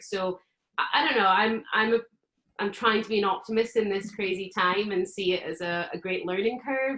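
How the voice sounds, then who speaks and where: A woman speaks with a Scottish accent. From Scotland. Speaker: burlesque performer. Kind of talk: casual chat.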